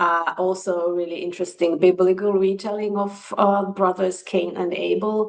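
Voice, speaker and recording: With a Finnish accent, a woman speaks at a moderate pace. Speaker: book reviewer. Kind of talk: casual chat.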